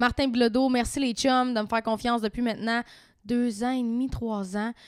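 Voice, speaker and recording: Recorded very cleanly against a silent background, a woman talks at a fairly quick pace with a Quebec accent. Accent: Québécois French. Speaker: podcast host. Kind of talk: casual chat.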